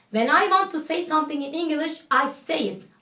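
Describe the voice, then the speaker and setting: Audible room echo surrounds this woman's speech. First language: Turkish. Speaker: English teacher YouTuber. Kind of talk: casual spoken English lesson to camera. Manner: spontaneous, casual.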